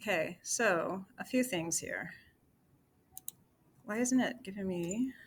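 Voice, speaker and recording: A woman speaks very slowly at a medium pitch, somewhat breathy. Her pitch varies in an ordinary way, with long, frequent pauses. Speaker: presenter of a new political-economic plan. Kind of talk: casual chat.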